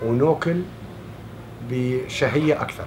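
Over light background noise, a man with a medium pitch speaks at a very slow pace. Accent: southern Syrian. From Syria, Daraa. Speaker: refugee. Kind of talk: interview answer. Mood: calm, warm reminiscing. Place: home room.

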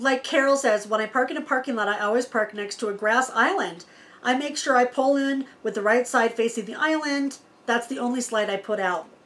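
Speech comes at a fairly quick pace with ordinary pitch variation. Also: woman. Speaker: RV vlogger. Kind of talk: casual vlog Q&A storytelling. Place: home room.

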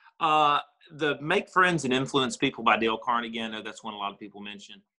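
A man with a Southern US accent talks at a fairly quick pace with ordinary pitch variation. The background is quiet. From Tennessee (Cleveland); Tennessee. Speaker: real estate investor and insurance agency owner; podcast guest. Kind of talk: interview. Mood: thoughtful, relaxed. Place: home room. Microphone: video call.

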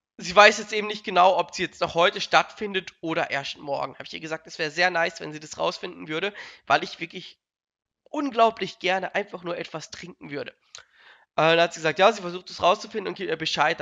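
A man speaks at a fairly quick pace with a high pitch and a bright, sharp tone. His pitch varies in an ordinary way while his loudness swings widely, against a quiet background. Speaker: streamer. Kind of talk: casual storytelling vlog chat. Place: home room. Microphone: headset.

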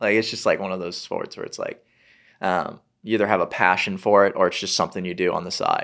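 A man at a very fast pace over a quiet background. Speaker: golf YouTuber and golfer; golf YouTuber. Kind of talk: casual chat. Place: studio. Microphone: studio mic.

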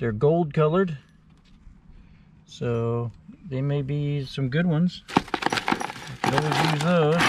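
A woman at a very slow pace, very deep and low in pitch, with ordinary pitch variation, dry sound with no echo and noticeable background noise. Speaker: storage unit reseller. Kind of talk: casual vlog commentary. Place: street. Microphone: phone near.

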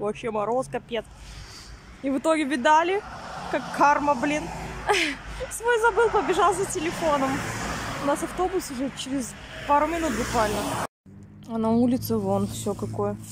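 A woman at a moderate pace with long, frequent pauses, in a dry sound with no echo and noticeable background noise. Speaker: vlogger. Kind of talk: casual vlog chat. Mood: amused, slightly annoyed. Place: street. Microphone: phone near.

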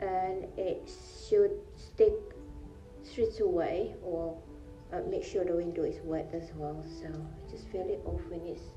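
A woman at a fairly slow pace, faint music in the background. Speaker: home DIY vlogger. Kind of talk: tutorial. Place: bathroom. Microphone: phone near.

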